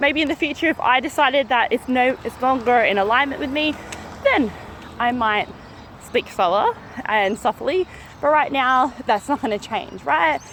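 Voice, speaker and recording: Noticeable background noise sits behind a woman with an Australian accent. Her pitch is high and her intonation lively. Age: 30s. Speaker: mindset coach. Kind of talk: motivational talk to camera. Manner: fast; energetic.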